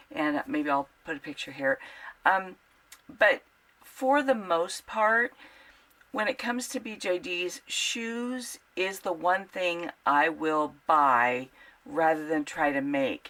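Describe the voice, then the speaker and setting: The tone is bright and sharp, the pitch swings very widely, and the pace is very slow. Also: woman, fairly low pitch for a woman. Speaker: sewing tutorial creator. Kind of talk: casual tutorial intro. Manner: casual with fillers.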